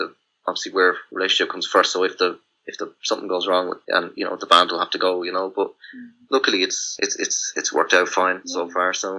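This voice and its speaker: A man with a rural Irish accent talks at a very fast pace. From rural Ireland. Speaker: musician. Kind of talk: casual chat. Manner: halting.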